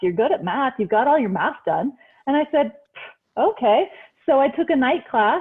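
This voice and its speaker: Her pitch high and swinging very widely, a woman speaks with a Utah accent. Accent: Utah American English. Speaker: software engineering manager. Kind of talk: panel discussion.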